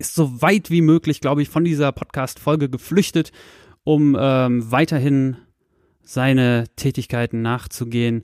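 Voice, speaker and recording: A normal speaking voice moves at a moderate pace with ordinary pitch variation. The sound is dry and close with no echo. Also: man. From Lower Saxony, Soltau area. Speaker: podcast host. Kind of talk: casual chat. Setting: bedroom home studio.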